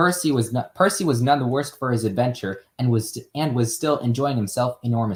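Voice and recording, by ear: A natural voice reading text aloud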